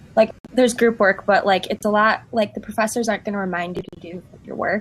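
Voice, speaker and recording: A woman speaks with an American accent at a very fast pace. Her pitch is fairly high. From US. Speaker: study abroad alumna. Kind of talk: panel discussion. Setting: livestream.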